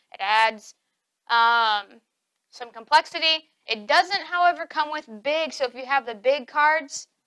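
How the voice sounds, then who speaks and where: A woman speaks in a high pitch with lively intonation. Her tone is bright and sharp, and her voice is raised and projected. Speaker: board game reviewer. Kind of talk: casual review talk to camera.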